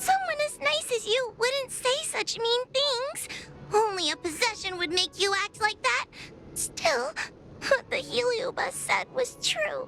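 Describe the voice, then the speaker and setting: A put-on character voice over clear background noise. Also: female-sounding voice, extremely high pitch for a woman, fairly slow pace. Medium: video game. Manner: nervous, hesitant.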